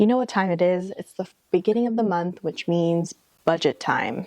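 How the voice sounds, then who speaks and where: A soft-spoken woman's medium-pitched voice with ordinary pitch variation. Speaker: lifestyle vlogger. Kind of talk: casual chat. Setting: outdoors.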